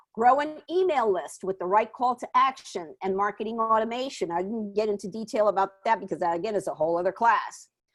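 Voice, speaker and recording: A woman speaks in a fairly high voice with a New York accent. Her pace is fairly quick, with hardly any pauses and ordinary pitch variation. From New York, Puerto Rican family. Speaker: small business marketing advisor. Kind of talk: webinar presentation and Q&A. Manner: fast.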